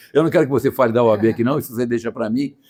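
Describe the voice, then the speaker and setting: Very fast speech with a dark, mellow tone. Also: man. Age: 70s. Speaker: lawyer and show host. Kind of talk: casual chat. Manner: animated; halting, many repetitions.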